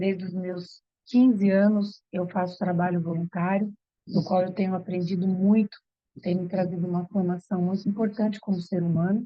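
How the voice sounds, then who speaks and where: Her medium-pitched voice stays monotone and flat as the woman speaks at a moderate pace. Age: 60s. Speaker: yoga therapist and aromatherapist. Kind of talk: online workshop presentation.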